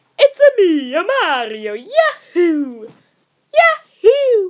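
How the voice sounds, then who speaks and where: In a put-on character voice, the speaker goes at a very slow pace with an extremely high pitch and very wide pitch swings. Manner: bouncy, excited.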